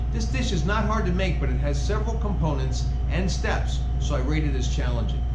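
Loud background noise fills the recording. Through it, a man talks at a moderate pace. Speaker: cooking instructor. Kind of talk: tutorial. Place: kitchen.

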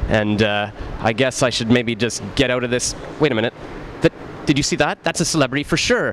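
Over light background noise, a man talks at a very fast pace with ordinary pitch variation. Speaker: comedic street host. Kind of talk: comedic promotional street bit. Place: street. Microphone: handheld.

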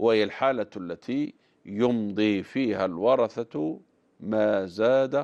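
Over a quiet background, a man speaks at a very slow pace. His pitch is fairly low, with ordinary variation. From Algeria. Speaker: religious scholar answering viewer questions. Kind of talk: religious Q&A program mixing formal Arabic and dialect. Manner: animated. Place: studio. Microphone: lapel.

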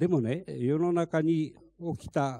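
A man's fairly high-pitched voice, dark and mellow in tone, with lively intonation over a quiet background. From Fukushima, Minamisoma; Fukushima. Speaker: lead plaintiff, evacuee; panelist. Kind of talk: panel discussion. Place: meeting room. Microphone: handheld.

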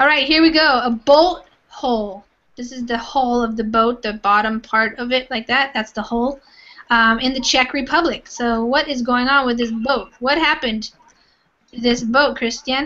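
Talking at a moderate pace with an American accent, a woman has a high pitch and ordinary pitch variation. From California. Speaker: online English teacher. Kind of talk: online language class. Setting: live video class.

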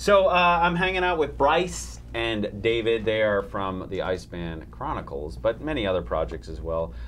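Audible room echo surrounds a man with an American accent speaking at a moderate pace with hardly any pauses. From Chicago, then Canada and Boston. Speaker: talk show host. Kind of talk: casual comedic chat. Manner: animated.

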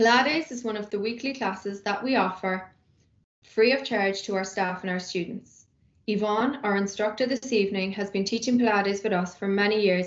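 A woman with a Cork accent at a fairly quick pace, her intonation fairly even, with audible room echo. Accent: Irish (Cork). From Ireland. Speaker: university sports officer. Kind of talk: scripted welcome announcement. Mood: upbeat, welcoming. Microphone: webcam.

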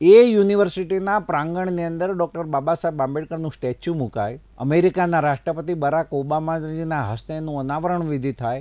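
Against a quiet background, a man with a fairly high pitch and a dark, mellow tone speaks with ordinary pitch variation. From Gujarat, Mehsana district; Gujarat. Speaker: state cabinet minister. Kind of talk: interview. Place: studio. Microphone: lapel.

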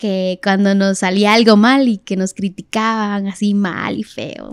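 Fairly slow speech in a dry sound with no echo, over a quiet background. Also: woman. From Guatemala City. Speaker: singer, reality show winner; podcast guest. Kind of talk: casual interview. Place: studio. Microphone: studio mic.

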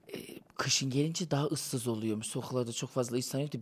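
Fairly even intonation marks this man's speech, which sits at a medium pitch. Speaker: entertainer visiting as interview guest; interview guest. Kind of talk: casual interview chat. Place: cafe. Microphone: handheld.

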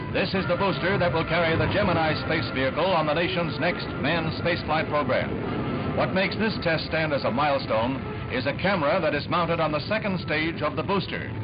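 Clear music plays in the background as the voice moves at a fairly quick pace. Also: man. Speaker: newsreel narrator. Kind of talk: newsreel narration. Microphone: old recording.

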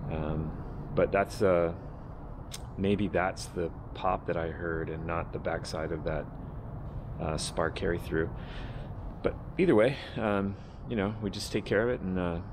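Against noticeable background noise, a man with a very deep, low voice speaks at a fairly slow pace with ordinary pitch variation and long, frequent pauses. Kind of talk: casual build vlog explanation. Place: workshop. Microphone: phone near.

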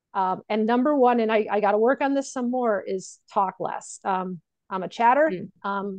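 Against a quiet background, a woman talks at a moderate pace with an American accent. The sound is dry with no echo. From Connecticut, US. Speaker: registered nurse and business coach; business coach. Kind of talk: casual interview chat. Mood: candid, reflective. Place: home room. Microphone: earbuds.

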